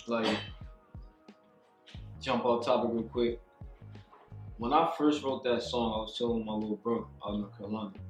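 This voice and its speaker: Speech at a moderate pace with ordinary pitch variation and long, frequent pauses, music playing in the background. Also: man, medium pitch for a man. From Baltimore-born, raised in New Jersey. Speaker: rapper and music producer. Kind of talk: casual interview answer.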